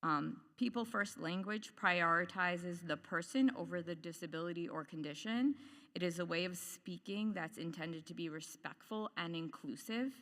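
A loud woman's voice at a fairly low pitch, bright and sharp in tone, with lively intonation, a moderate pace and hardly any pauses. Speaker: parent and occupational therapist, public commenter. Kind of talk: public comment at board meeting. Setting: public meeting, microphone.

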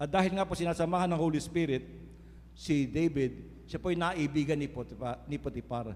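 Speaking at a moderate pace, a man with an unremarkable speaking voice has a fairly high pitch. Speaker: preacher. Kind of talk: sermon. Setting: church. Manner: earnest, preaching cadence with rhetorical 'Amen?' calls to the congregation.

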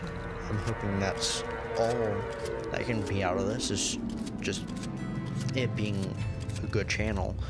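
Loud music plays in the background of this very slow speech, which has a dry sound with no echo. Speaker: gaming YouTuber. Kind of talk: casual channel update voice-over.

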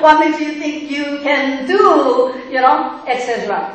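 A woman's voice in strong room echo. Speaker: pastor. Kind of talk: sermon. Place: church.

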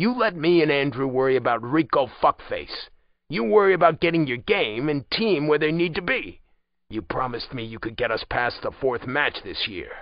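Putting on a gruff character voice, a man talks at a moderate pace with a fairly high pitch and very wide pitch swings. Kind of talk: audiobook dialogue. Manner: blunt, gruff, commanding.

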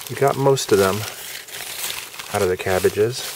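A dry recording with no echo and noticeable background noise. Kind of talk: casual demonstration chat. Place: garden. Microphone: phone near.

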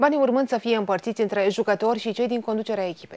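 A woman's fairly high voice keeps to fairly even intonation. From Romania. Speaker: news anchor. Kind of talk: news reading. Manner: formal. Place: studio.

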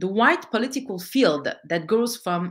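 Against a quiet background, a woman speaks with a French accent. Her pitch swings very widely. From France, of Algerian descent. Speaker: political activist and author. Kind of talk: lecture. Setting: online event. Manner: halting. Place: home room. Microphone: webcam.

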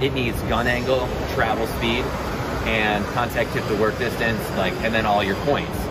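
Loud background noise is heard as a man speaks at a moderate pace. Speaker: welding educator. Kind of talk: interview answer. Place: hall. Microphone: phone near.

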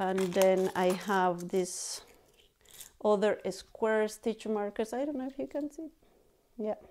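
A woman with a dark, mellow tone talks at a very slow pace, using ordinary pitch variation and long, frequent pauses. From Bolivia. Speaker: knitting podcaster and yarn dyer; knitting podcaster. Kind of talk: casual vlog chat. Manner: halting, many fillers. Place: home room.

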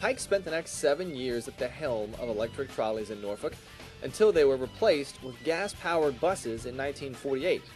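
Music plays in the background as the speaker moves at a fairly quick pace with very wide pitch swings. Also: man. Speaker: TV news reporter. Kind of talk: TV news report narration.

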